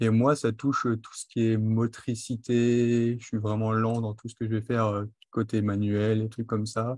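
Over a quiet background, a man at medium pitch talks at a fairly slow pace in a flat monotone, his loudness swinging widely. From western France (Charente-Maritime, then Marne). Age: 20s. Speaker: cook with dyspraxia. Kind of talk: interview. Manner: articulate.

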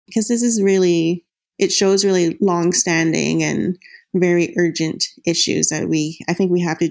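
A woman speaks in an ordinary speaking voice, fairly low-pitched and fairly even in intonation, at a moderate pace on a very clean recording with a silent background. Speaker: newspaper reporter. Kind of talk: interview answers.

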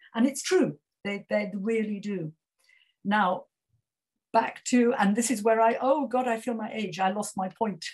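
A woman with a British accent speaks at a fairly slow pace, leaving long, frequent pauses. Her somewhat breathy voice sits at a fairly high pitch with ordinary variation. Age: 70s. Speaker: retired author and breastfeeding advocate. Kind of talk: keynote talk and panel discussion. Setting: video call.

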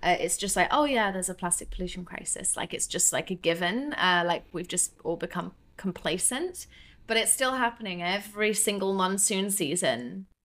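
A woman's voice with ordinary pitch variation, in a very clean recording with a silent background. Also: medium pitch for a woman, moderate pace. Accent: southern English. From southern England, Devon. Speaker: ocean cleanup business founder. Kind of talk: interview.

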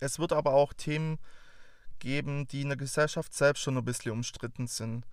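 Speaking with a Swabian accent, a man has a fairly high pitch. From Swabia, near Stuttgart. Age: 20s. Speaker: podcast host. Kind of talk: show introduction monologue. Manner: talkative.

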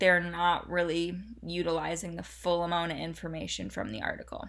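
Bright, sharp tone on a very clean recording with a silent background. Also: woman. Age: 20s. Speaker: sports nutrition podcast host, dietitian. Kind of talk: solo podcast monologue. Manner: casual, filler-heavy.

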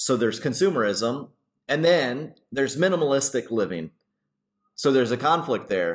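A man of medium pitch talks at a moderate pace with vocal fry and very wide pitch swings. The recording is very clean, with a silent background. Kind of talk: Bible study discussion.

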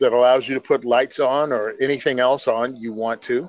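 Moderate pace, medium pitch, and a plain, everyday voice from a man. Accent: American. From New Jersey. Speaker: podcast co-host, firearms advocate. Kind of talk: casual chat.

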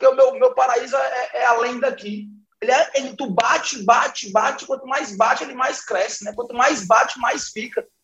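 Here is a man with a Cearense accent and extremely high pitch. He keeps fairly even intonation at a moderate pace. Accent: Cearense Brazilian Portuguese. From Brazil, Fortaleza. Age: 30s. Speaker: business partner and think-tank director. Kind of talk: casual chat.

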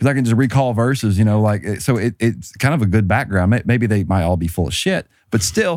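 Talking at a very fast pace, a man with a Southern US accent uses a fairly low pitch and lively intonation on a very clean recording with a silent background. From US South, rural. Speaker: panelist. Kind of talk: casual panel discussion.

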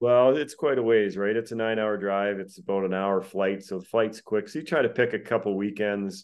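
A man in a normal speaking voice with a Canadian accent, fairly low pitch, ordinary pitch variation, fairly quick pace and hardly any pauses. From Alberta, Canada. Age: 40s. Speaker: retired pro hockey player. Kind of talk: casual chat. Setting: call.

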